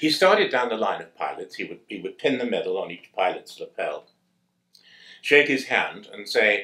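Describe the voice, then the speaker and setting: A man with a British accent speaks at a moderate pace, his loudness swinging widely. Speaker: war veteran. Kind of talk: testimony.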